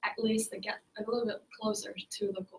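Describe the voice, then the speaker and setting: The speaker has a Chinese accent and talks at a fairly slow pace. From China. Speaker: ESL teacher. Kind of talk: group discussion. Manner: halting.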